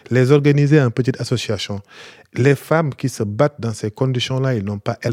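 A man's medium-pitched voice in a Senegalese accent, on a very clean recording with a silent background. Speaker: activist. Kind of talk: panel discussion. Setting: stage with audience.

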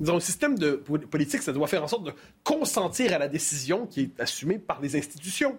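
A man at a high pitch, with very wide pitch swings. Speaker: political editorialist. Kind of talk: panel discussion on current affairs. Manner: animated.

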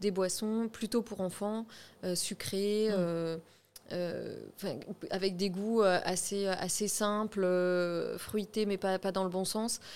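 A woman of medium pitch speaks in a monotone, flat intonation. Her pace is very slow, with long, frequent pauses. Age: 30s. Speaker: shop co-manager. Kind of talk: casual interview.

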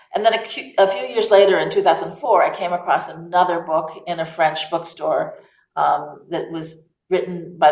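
With an American accent, a woman in an ordinary speaking voice talks at a moderate pace and fairly low pitch, her intonation fairly even. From United States. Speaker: author. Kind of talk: interview.

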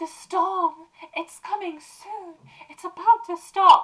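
Her put-on character voice sits at an extremely high pitch. The woman keeps a fairly slow pace. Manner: eerie, prophetic.

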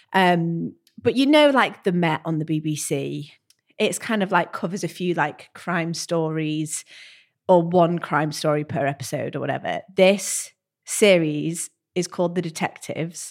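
In a very clean recording with a silent background, a woman with an ordinary speaking voice talks at a fairly slow pace, her pitch fairly low, with ordinary pitch variation. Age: 30s. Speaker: podcast co-host. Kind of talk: casual chat.

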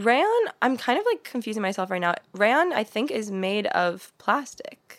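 With an American accent and an ordinary speaking voice, a woman with a fairly high pitch talks at a fairly slow pace, with lively intonation and hardly any pauses. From US Midwest, St. Louis. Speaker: podcast guest. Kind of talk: casual chat.

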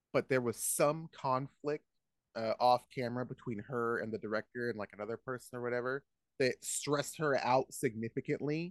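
Recorded with a dry, close sound and no echo, a man of medium pitch has an unremarkable speaking voice, moderate pace and ordinary pitch variation. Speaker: comedian. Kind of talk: casual chat.

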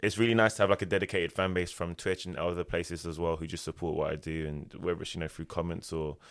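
Very deep and low in pitch, a man speaks at a very fast pace. The recording is very clean, with a silent background. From Ilford, Essex, England. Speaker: music events founder and promoter. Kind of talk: casual interview chat.

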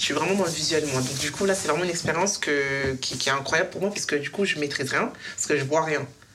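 At a very fast pace, a woman with a very deep, low pitch speaks with ordinary pitch variation amid audible room echo and noticeable background noise. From Paris southern suburbs, Essonne. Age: 20s. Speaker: single on a dating show. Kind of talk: casual chat. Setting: in total darkness.

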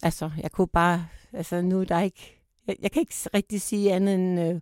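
Recorded dry and close with no echo, a woman talks at a medium pitch and moderate pace with fairly even intonation. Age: 60s. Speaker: survivor of domestic violence. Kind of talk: personal testimony in interview. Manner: halting, hesitant.

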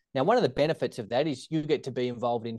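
Over a quiet background, a man talks at a medium pitch in a dark, mellow tone. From Australia, Tasmania (Hobart). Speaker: secondary teacher and startup founder. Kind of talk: interview conversation.

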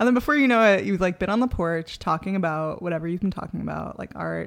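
In an American accent, a woman with a plain, everyday voice speaks at a moderate pace, her fairly low pitch showing ordinary pitch variation. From New York, the Bronx. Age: 20s. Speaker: photographer and educator. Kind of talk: casual chat.

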